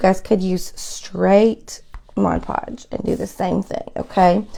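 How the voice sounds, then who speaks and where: A woman at a very slow pace, with big swings in loudness. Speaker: craft video host. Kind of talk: live craft tutorial. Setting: home craft room, live stream. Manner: chatty, conversational.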